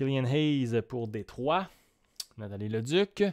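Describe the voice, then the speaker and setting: A man speaks with a Quebec accent at a very slow pace. The background is quiet. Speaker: card break streamer. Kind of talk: live stream commentary. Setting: at home, evening live stream. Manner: calmer, not shouting. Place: home room.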